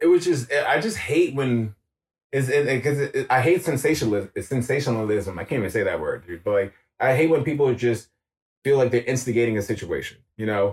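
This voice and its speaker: A man with a New York accent, medium pitch, lively intonation and a somewhat breathy voice, going at a fairly quick pace. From New York (Queens). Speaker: street photographer. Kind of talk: casual interview chat.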